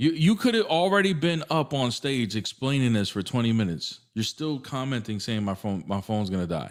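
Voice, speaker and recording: On a very clean recording with a silent background, a man with an American accent speaks at a medium pitch and a fairly quick pace, his pitch swinging very widely. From New Jersey, US. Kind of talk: casual livestream chat. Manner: casual, filler-heavy.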